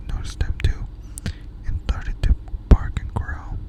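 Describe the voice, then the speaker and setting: Someone whispers at a moderate pace. There is noticeable background noise. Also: woman. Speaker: ASMR creator. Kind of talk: ASMR scary story reading for sleep.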